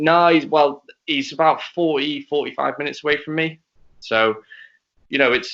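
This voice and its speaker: The speaker has a Liverpool accent. The delivery moves at a fairly slow pace. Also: man. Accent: Scouse. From Wales, partly Liverpool. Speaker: racing driver. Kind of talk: casual chat. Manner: halting, repeats words.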